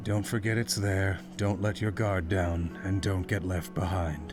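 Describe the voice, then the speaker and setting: A man speaks in a put-on character voice with a very deep, low pitch. His pace is fairly slow, and loud music plays in the background. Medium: virtual streamer. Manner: terse, detached.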